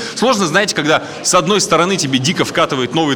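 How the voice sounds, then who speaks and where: Against noticeable background noise, a man talks at a very fast pace with a fairly high pitch and very wide pitch swings. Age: 30s. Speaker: stand-up comedian. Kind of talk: stand-up.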